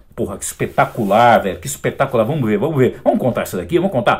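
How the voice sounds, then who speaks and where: Vocal fry runs through the man's speech. His pitch moves in very wide swings. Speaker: fitness youtuber. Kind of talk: video reaction commentary. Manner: animated; loud.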